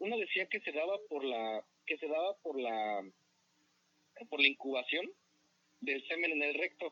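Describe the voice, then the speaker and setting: A man speaks at a fairly high pitch with very wide pitch swings. His pace is fairly slow, with long, frequent pauses. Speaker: podcast co-host. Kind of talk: casual chat.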